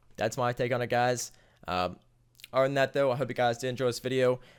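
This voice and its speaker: A man talks very fast on a very clean recording where the background is silent. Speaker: gaming video creator. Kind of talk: tutorial. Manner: halting.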